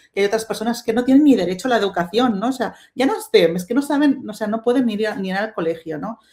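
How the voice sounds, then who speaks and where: Fairly quick pace in a Catalan accent. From Spain, Catalonia. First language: Catalan (speaking Spanish). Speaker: webinar panelist, STEM diversity advocate. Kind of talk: webinar panel talk. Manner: halting, many fillers and restarts.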